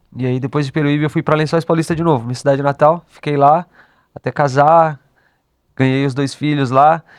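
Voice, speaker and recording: A man with a fairly high pitch speaks at a fairly quick pace in a monotone, flat intonation, recorded with a dry, close sound and no echo. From Brazil, São Paulo state (partly raised in Bahia). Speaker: music producer and instrumentalist. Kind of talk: casual chat.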